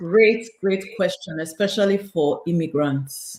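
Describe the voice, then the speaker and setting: A woman with a Nigerian accent speaks in a fairly low voice with ordinary pitch variation. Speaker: realtor and mentor. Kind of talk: interview conversation.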